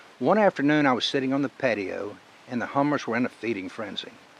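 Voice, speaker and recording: A man with a fairly high pitch at a fairly quick pace, against noticeable background noise. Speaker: storyteller, reading his own story. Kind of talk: storytelling reading.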